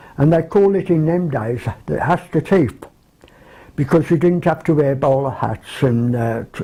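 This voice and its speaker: A man with a Birmingham accent talks at a fairly slow pace. His fairly high voice is somewhat breathy. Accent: Birmingham (Brummie). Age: 70s. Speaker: care home resident. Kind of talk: reminiscence interview.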